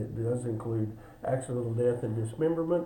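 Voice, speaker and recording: Fairly quick male speech in a room with audible echo. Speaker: insurance agent. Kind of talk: benefits presentation video. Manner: fast.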